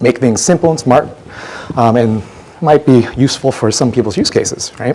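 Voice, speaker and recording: Amid noticeable background noise, a man with a medium-pitched voice speaks at a fairly quick pace. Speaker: software conference speaker. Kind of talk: lightning talk presentation. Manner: fast.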